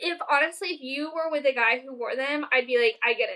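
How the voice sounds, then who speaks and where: Here a woman uses a raised, projected voice at a moderate pace. Her pitch is high and her tone bright and sharp. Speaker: podcast co-host. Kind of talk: casual chat. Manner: loud; animated.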